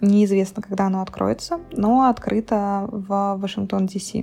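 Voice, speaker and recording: A woman's dark, mellow voice comes out somewhat breathy at a fairly slow pace. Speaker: blogger. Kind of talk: casual chat. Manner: animated.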